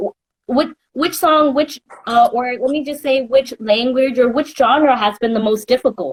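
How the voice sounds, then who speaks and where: With a New York accent, a woman speaks at a high pitch and a moderate pace, with ordinary pitch variation. The sound is dry and close with no echo. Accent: New York American. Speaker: entertainment interviewer. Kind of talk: interview. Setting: Instagram live video call.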